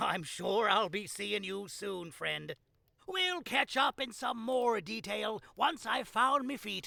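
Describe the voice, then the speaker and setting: In a put-on character voice, a man projects a raised voice at a high pitch, with lively intonation and a fairly slow pace. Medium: video game. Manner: friendly, folksy.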